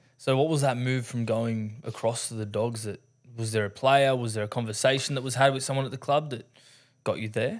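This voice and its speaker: Over a quiet background, a man talks at a fairly quick pace. His intonation stays fairly even. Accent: Australian. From Australia. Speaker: podcast host. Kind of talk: casual chat. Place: studio. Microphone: studio mic.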